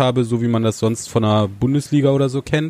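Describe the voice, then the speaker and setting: A man talks at a moderate pace with fairly even intonation. He has an unremarkable speaking voice. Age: 30s. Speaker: TV presenter. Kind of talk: casual chat. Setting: inn.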